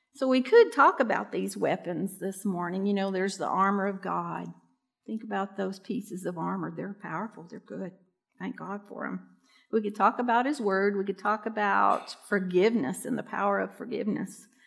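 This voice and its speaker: This is a woman with a normal speaking voice at medium pitch, using ordinary pitch variation and a moderate pace. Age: 60s. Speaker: pastor. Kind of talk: sermon.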